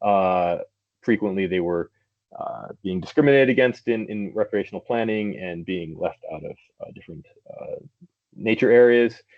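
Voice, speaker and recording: Using big swings in loudness and long, frequent pauses, a man with an American accent speaks at a fairly low pitch and moderate pace with ordinary pitch variation. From United States. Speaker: cycling advocacy officer. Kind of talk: seminar presentation. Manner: hesitant, many fillers.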